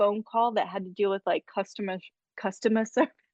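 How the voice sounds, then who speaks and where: In an American accent, a woman speaks at medium pitch, the sound dry and close with no echo over a quiet background. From US Midwest. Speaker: scientist, entomologist. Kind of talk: casual chat.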